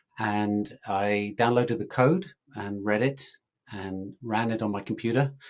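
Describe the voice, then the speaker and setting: At a fairly slow pace, a man with an English accent talks at a fairly low pitch with ordinary pitch variation. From England. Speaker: tech startup founder. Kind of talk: interview podcast conversation.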